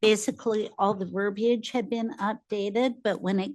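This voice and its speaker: A woman has a normal speaking voice with medium pitch and fairly even intonation. The background is quiet. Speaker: city finance staff. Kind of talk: budget meeting presentation.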